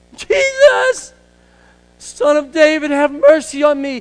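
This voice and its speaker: In a put-on character voice, the speaker goes fairly slowly with a high, shrill pitch. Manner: screeching, harsh.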